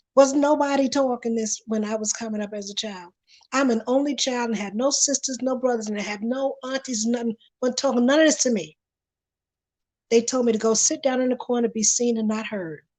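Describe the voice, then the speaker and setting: A woman with a high pitch speaks at a fairly quick pace with ordinary pitch variation. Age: 60s. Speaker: panelist. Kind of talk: panel discussion. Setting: livestream.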